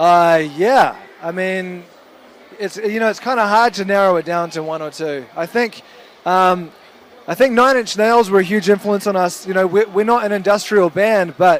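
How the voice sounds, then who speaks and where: Ordinary pitch variation marks a man's high-pitched voice, delivered in a New Zealand accent at a moderate pace. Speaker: rock band member. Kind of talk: interview.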